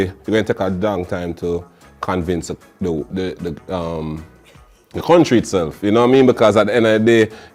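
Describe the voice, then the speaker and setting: Music plays in the background while a man speaks with a Jamaican accent. His pace is fairly quick and his intonation lively. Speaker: dancehall artist. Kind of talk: interview answer.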